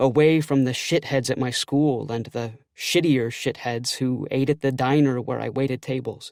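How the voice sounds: Fairly even intonation in a natural reading voice.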